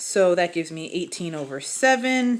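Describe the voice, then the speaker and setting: On a very clean recording with a silent background, a woman speaks at a medium pitch. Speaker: math teacher. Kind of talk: tutorial. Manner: fast; casual.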